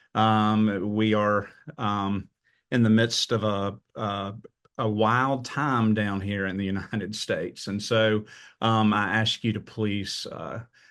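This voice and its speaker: In a Southern US accent, a man speaks at a very slow pace with a fairly low pitch and a monotone, flat intonation. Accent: Southern US, noticeable. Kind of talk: webinar presentation. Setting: webinar.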